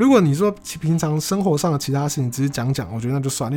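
A man at a very fast pace and fairly high pitch, with music in the background. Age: 20s. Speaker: podcaster. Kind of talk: casual solo monologue.

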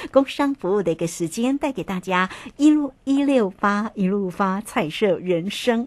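Against a quiet background, a woman talks at a fairly slow pace at a medium pitch with lively intonation. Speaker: radio host. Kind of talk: radio interview. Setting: radio studio.

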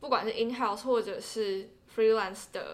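Here is a woman with an ordinary speaking voice, pitched fairly high. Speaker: interpreting graduate student. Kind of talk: casual interview.

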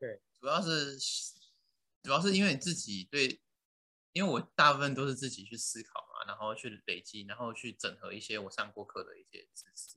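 A man's bright, sharp tone with lively intonation at a moderate pace. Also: fairly high pitch for a man. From Tainan, Taiwan. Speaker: physical therapist. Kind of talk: casual interview.

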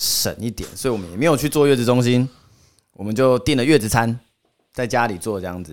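On a very clean recording with a silent background, a man talks at a fairly quick pace in a normal speaking voice of medium pitch. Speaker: podcast guest, old school friend of hosts. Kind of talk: casual chat.

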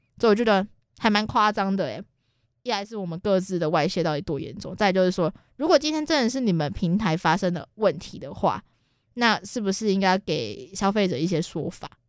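In a very clean recording with a silent background, a woman is speaking. She talks at a fairly quick pace with lively intonation. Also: medium pitch for a woman. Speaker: podcast co-host. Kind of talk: casual chat.

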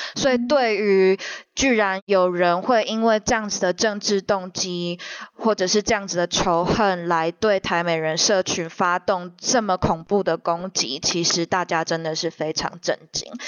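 Here is a woman with a plain, everyday voice at a medium pitch. She talks at a fairly slow pace with ordinary pitch variation. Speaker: think tank program officer. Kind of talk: interview discussion. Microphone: microphone made a boiling-water noise, kept quieter.

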